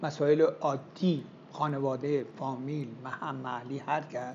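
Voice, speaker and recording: Somewhat breathy and fairly high-pitched, a man's voice carries audible room echo. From Iran, Yazd. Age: 70s. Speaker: marketing professor. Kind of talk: interview talk. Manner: measured, pausing.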